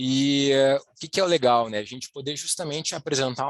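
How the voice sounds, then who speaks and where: A man speaks in an ordinary speaking voice, fairly high in pitch, with fairly even intonation. The sound is dry and close, with no echo. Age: 30s. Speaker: wealth planning specialist. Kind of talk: webinar presentation. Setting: online live presentation.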